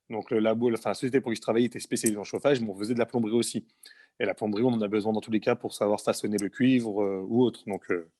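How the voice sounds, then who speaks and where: At a very fast pace, a man speaks at medium pitch with a dark, mellow tone and flat, monotone intonation. The recording is very clean, with a silent background and a dry, close sound with no echo. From Paris suburbs, France (Essonne). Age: 30s. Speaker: heating and plumbing technician. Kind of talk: interview. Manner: halting, many hesitations.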